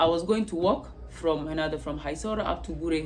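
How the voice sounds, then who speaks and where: A woman is heard with noticeable background noise and audible room echo. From South Sudan. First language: not English. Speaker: testimony vlogger. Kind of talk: personal testimony. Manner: halting, many repetitions.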